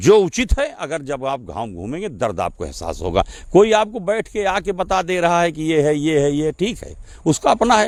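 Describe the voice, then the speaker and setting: Here a man speaks at a moderate pace in a high pitch. His pitch swings very widely. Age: 60s. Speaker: local politician. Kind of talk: interview. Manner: assertive.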